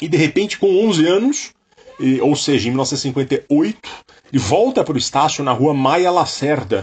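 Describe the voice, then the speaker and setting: Fairly high-pitched and somewhat breathy, a man speaks with lively intonation. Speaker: music podcast co-host. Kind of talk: music podcast with narrated background segments.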